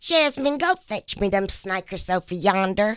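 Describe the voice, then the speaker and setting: A woman puts on a Southern accent as part of a character voice, speaking at a moderate pace with lively intonation and a medium pitch. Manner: sweet, kind.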